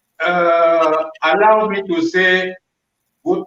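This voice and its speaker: With a French accent, a man talks using ordinary pitch variation. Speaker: panelist. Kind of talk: panel discussion.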